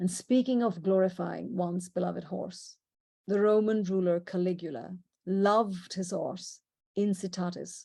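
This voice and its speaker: A woman speaks with an Indian accent at a moderate pace and a medium pitch. Her voice is somewhat breathy, with a dark, mellow tone and fairly even intonation. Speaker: presenter. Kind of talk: illustrated presentation. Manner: conversational.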